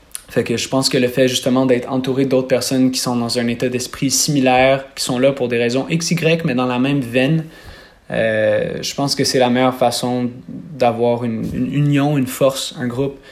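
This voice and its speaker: Through noticeable background noise, a man speaks at a medium pitch and a moderate pace with fairly even intonation. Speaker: singer. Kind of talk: interview.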